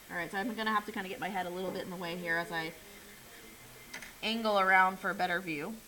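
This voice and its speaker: Very fast bursts from a woman with fairly even intonation are broken by long, frequent pauses. Noticeable background noise and audible room echo are present. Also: medium pitch for a woman. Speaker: art teacher. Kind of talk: classroom drawing demonstration.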